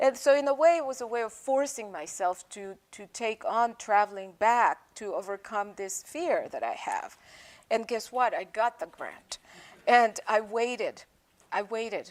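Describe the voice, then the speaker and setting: A woman with a Spanish accent talks at a fairly slow pace and a fairly high pitch. Her pitch variation is ordinary, while her loudness swings widely. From El Salvador. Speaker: poet. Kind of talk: public talk with poetry reading. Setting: bookstore with live audience.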